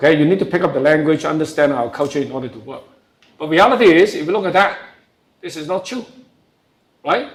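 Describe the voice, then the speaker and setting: In a strong Hong Kong accent, a man with a fairly high pitch talks very fast with lively intonation, big swings in loudness and long, frequent pauses, and room echo can be heard. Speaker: professor. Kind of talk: lecture.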